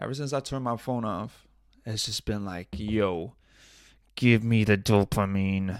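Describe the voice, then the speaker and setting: At a fairly slow pace, a man speaks in a fairly low voice with ordinary pitch variation. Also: very clean recording, silent background. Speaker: podcast host. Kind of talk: casual solo monologue. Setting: home studio with audio interface. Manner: rambling with frequent filler words and self-repetition; loud.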